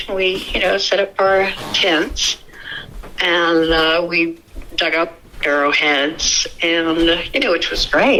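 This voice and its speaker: Over noticeable background noise, a woman with a fairly low pitch speaks at a very slow pace, keeping her loudness very even and her intonation fairly even. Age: 70s. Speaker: eyewitness sharing an encounter. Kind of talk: interview testimony.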